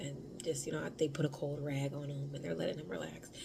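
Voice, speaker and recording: Quiet and fairly quick, a woman with an American accent speaks in a very deep, low pitch. There is audible room echo. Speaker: vlogger, stay-at-home mom. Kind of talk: casual vlog. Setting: at home. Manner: quiet, speaking low.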